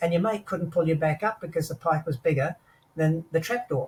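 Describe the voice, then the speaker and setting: The man has a high pitch with ordinary variation. He speaks at a moderate pace. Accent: Australian. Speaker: war veteran. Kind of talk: interview storytelling.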